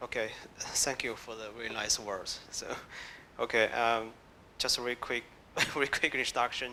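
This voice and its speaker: A man with a Chinese accent, medium-pitched, bright and sharp in tone, flat and monotone, at a moderate pace with long, frequent pauses. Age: 30s. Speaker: tech blogger, founder, panelist. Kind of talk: panel discussion.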